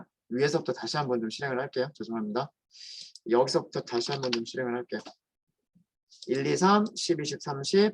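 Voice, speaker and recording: The speech moves at a fairly quick pace. Long pauses break it up frequently. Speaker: programming instructor. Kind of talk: lecture. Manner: fast.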